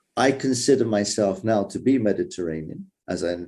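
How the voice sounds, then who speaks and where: A man with an English accent speaks in a fairly low pitch, with a dark, mellow tone and lively intonation. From England. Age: 60s. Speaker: conference moderator. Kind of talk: panel discussion.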